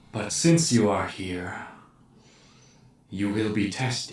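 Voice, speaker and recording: A man uses a put-on character voice, recorded with slight echo. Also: fairly low pitch for a man, fairly slow pace. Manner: ominous.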